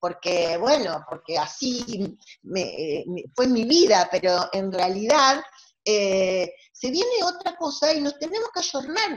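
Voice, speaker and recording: Very wide pitch swings mark a woman's fairly high voice as she speaks at a very slow pace. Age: 60s. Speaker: family court judge. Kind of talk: online lecture. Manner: halting.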